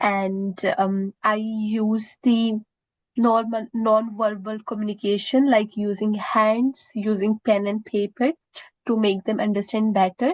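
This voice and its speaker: The sound is dry and close, with no echo. A woman speaks very slowly in an Indian accent. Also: fairly high pitch for a woman, fairly even intonation. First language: Indian language. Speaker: student job applicant. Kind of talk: mock job interview. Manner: halting, many fillers.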